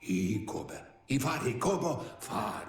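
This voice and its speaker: With a slight echo around him, a man does a put-on character voice. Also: medium pitch for a man, fairly slow pace. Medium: video game. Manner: nonsense-language speech.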